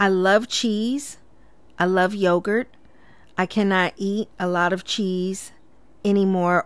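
The pace is very slow. The pitch varies an ordinary amount. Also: woman. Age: 40s. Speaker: podcast host and cosmetology instructor. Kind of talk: casual solo monologue. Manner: conversational with frequent filler words.

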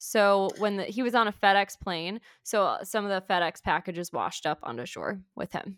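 In a very clean recording with a silent background and a dry, close sound with no echo, a woman uses a normal speaking voice at a moderate pace, with ordinary pitch variation and hardly any pauses. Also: medium pitch for a woman. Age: 20s. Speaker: teacher and podcast co-host. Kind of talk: casual chat.

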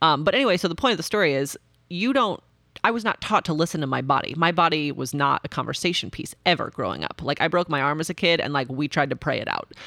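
A woman speaks very fast in a very deep, low pitch with a bright, sharp tone. Her intonation is lively, and the recording is very clean with a silent background. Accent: Midwestern American. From Nebraska, US Midwest. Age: 40s. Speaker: active transportation advocate. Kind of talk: casual chat. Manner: animated.

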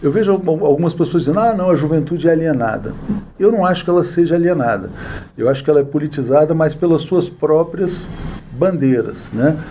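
A man talks at a fairly quick pace in a fairly high pitch. Noticeable background noise runs underneath. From Brazil, Brasília. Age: 40s. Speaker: journalist and news site founder. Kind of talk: interview. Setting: studio.

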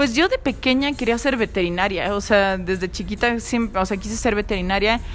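A woman with a Mexican accent speaks at a fairly high pitch with ordinary pitch variation. Noticeable background noise is present. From Mexico. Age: young. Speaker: singer-songwriter. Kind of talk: interview. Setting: cafe.

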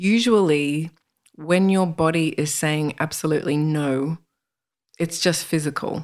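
Fairly low in pitch, a woman with an Australian accent shows ordinary pitch variation on a very clean recording with a silent background. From Australia, northern Sydney. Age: 40s. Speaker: spiritual author and healer. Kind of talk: interview.

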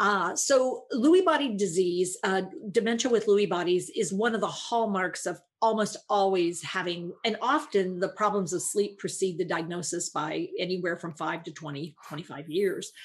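A woman speaks in a plain, everyday voice at medium pitch and a moderate pace. Her pitch varies in an ordinary way, and she hardly pauses. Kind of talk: explanatory interview answers.

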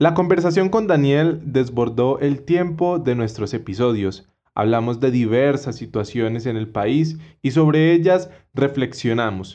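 The speaker uses a plain, everyday voice with lively intonation at a fairly slow pace. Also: man, medium pitch for a man. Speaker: podcast host. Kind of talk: interview; scripted narration.

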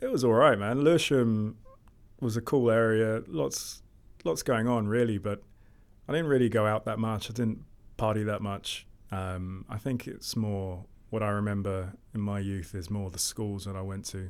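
A man with a South London accent, fairly low pitch, moderate pace and ordinary pitch variation. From Southeast London, England. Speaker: fintech co-founder and investor. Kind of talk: interview.

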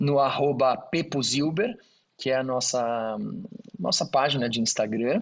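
Lively intonation marks a man's fairly slow speech. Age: 40s. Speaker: engineer and auctioneer, NGO founder. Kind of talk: interview. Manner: halting.

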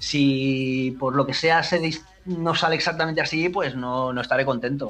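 Fairly high in pitch for a man, this is a normal speaking voice with intonation that stays fairly even. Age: 50s. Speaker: DJ. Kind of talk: interview.

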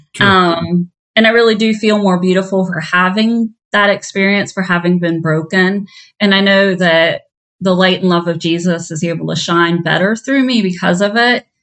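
In a plain, everyday voice, a woman with an American accent speaks at medium pitch and a moderate pace with fairly even intonation. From southeastern Ohio. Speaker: minister and program director. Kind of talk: interview.

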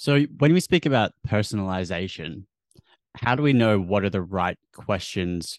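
This man has an Australian accent, a fairly low pitch and lively intonation, speaking at a fairly slow pace. The sound is dry and close with no echo, against a quiet background. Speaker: podcast host. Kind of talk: interview chat.

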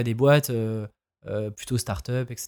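An ordinary speaking voice from a man, moderate in pace with fairly even intonation, on a very clean recording with a silent background. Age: 20s. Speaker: freelancer and podcaster. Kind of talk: casual chat.

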